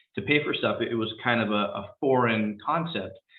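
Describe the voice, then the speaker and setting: At a moderate pace, a man talks with a Californian accent. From San Rafael, California (Marin County). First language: Spanish. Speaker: police captain. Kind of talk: panel talk.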